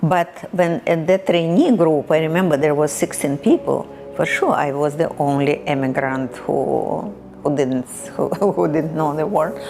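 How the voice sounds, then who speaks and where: Over music in the background, a woman with a Russian accent speaks at a fairly slow pace, her very deep, low pitch showing ordinary variation. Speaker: immigrant interviewee, retired bank employee. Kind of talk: oral history interview. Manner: halting.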